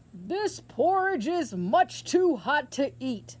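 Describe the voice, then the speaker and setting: A put-on, female-sounding character voice, high in pitch with very wide pitch swings, at a very slow pace. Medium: read story.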